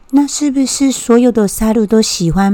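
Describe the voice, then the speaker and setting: This woman has a dark, mellow tone and lively intonation. She speaks at a fairly slow pace. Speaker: podcast host. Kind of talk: casual explanatory talk; reading aloud.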